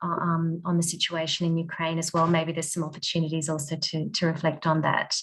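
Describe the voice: A woman at a moderate pace, her pitch fairly low and her tone fairly bright.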